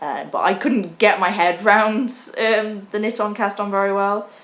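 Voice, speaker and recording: A woman speaks with a British accent. There is audible room echo. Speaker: vlogger. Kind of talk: casual chat. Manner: halting.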